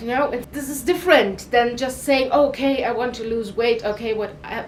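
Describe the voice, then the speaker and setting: A woman speaks with a non-native accent and a high pitch. Noticeable background noise is present. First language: not English. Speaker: weight loss vlogger. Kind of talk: casual talk to camera.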